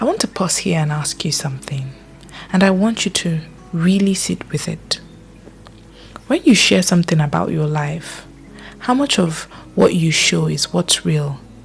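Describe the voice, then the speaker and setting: Over music in the background, a soft-spoken voice with a calm tone leaves long, frequent pauses. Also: moderate pace. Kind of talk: reflective mental health narration. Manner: soft-spoken, calm.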